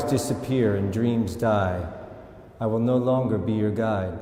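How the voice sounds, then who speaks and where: The speech is very slow, with ordinary pitch variation. Noticeable background noise is present. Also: man. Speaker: actor. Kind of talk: poetry reading.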